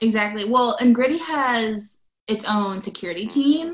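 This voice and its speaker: In an American accent, the speaker talks fairly slowly with lively intonation and a somewhat breathy sound. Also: woman. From Nebraska. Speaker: political activist. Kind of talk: casual chat.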